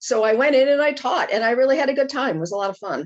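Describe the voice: A high-pitched woman's voice at a fast pace. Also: lively intonation.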